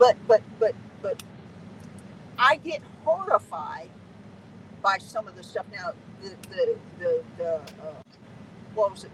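Noticeable background noise fills the recording. A woman speaks over it at a very slow pace. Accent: American. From Southern California. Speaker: veteran truck driver. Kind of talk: interview.

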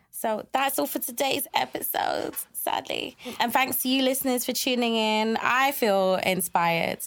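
At a moderate pace and with hardly any pauses, a woman speaks at a high pitch with lively intonation. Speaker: podcast host. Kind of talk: casual interview. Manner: animated.

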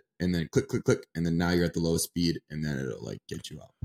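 A man's very deep, low voice carries vocal fry in a dry, close sound with no echo. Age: 20s. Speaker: hockey podcast co-host. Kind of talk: casual chat.

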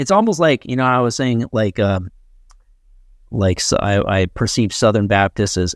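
In a very clean recording with a silent background and a dry, close sound with no echo, a man with an American accent uses a normal speaking voice at medium pitch and a moderate pace. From Connecticut. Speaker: comedian and podcast host. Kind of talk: casual chat.

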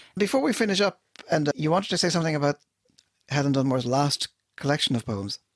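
A man with an Irish accent, fairly high-pitched and very fast, lively in intonation, very even in loudness, with long, frequent pauses. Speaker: podcast co-host. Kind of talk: casual chat.

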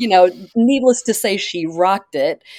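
Speaking in an unremarkable speaking voice, a woman of medium pitch uses lively intonation at a moderate pace. The sound is dry and close with no echo, on a very clean recording with a silent background. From Oklahoma. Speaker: playwright and nonprofit leader. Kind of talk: casual interview.

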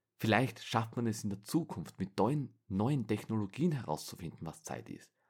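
A man's plain, everyday voice, fairly low in pitch, with lively intonation at a moderate pace. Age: 20s. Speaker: podcast host. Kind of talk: solo monologue.

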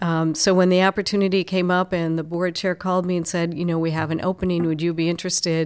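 A woman with an American accent talks at a very fast pace and a fairly low pitch, with monotone, flat intonation and hardly any pauses. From Minnesota, Twin Cities lake area. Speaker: chamber of commerce president. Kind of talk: interview conversation. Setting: office.

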